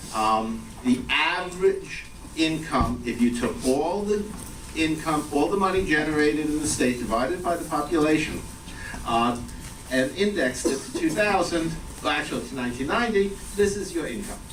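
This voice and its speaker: In a New York accent, the voice moves at a moderate pace with lively intonation, alongside noticeable background noise and audible room echo. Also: man, fairly high pitch for a man. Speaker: economics professor. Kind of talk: lecture. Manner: casual, hesitant with fillers.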